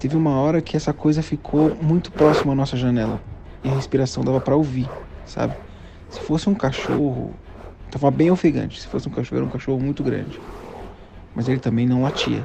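Very fast speech with long, frequent pauses and fairly even intonation, over noticeable background noise. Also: man, medium pitch for a man. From São Paulo, Brazil. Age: 30s. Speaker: listener. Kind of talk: recorded personal story. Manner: halting.

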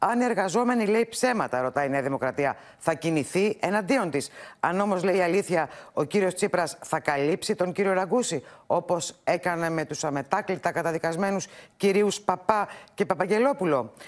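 Against a quiet background, a woman with a normal speaking voice talks at a medium pitch and a moderate pace with lively intonation. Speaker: political reporter. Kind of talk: news report.

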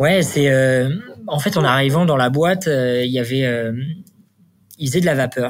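In a room with audible echo, a man of medium pitch speaks with ordinary pitch variation and very even loudness, pausing long and often. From Normandy, France (Le Havre). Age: 30s. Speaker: startup founder and CEO. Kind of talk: interview. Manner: hesitant, many fillers.

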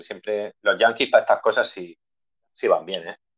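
A man talking at a moderate pace. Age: 40s. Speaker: punk band guitarist and nurse. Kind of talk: casual interview chat.

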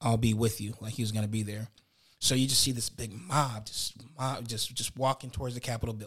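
A man with an ordinary speaking voice at a fairly quick pace and with fairly even intonation. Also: medium pitch for a man. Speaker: podcast co-host. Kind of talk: casual chat.

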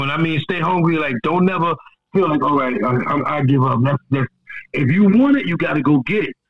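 A man's fairly high-pitched voice moves at a moderate pace with ordinary pitch variation. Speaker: rapper. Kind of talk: casual interview.

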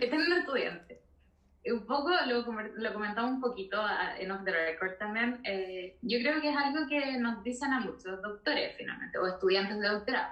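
A woman speaks with a Chilean accent at a fairly high pitch and moderate pace. Her intonation is lively, with noticeable background noise behind her. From southern Chile. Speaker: veterinarian and researcher. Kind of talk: interview.

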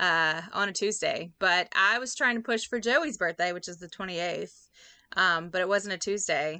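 Against a quiet background, a woman with a Louisiana accent speaks at a moderate pace in a bright, sharp tone with ordinary pitch variation. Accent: Southern US (Louisiana). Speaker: podcast co-host. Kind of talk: casual chat.

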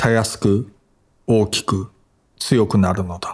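At a fairly slow pace, a man talks in a fairly low, monotone voice with flat intonation. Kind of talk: audiobook reading of literary essay. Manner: even, measured, calm narrating pace.

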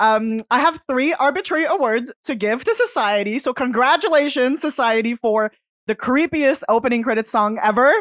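A woman with a high pitch speaks at a moderate pace with lively intonation, the sound dry and close with no echo. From Quebec. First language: French. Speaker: podcast co-host. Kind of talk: casual chat.

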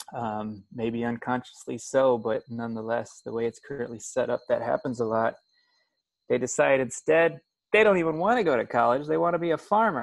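Lively intonation carries a man's fairly quick delivery, spoken with an American accent. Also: medium pitch for a man. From US Midwest, Springfield, Illinois. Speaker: travel instructor and farmer. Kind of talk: casual interview.

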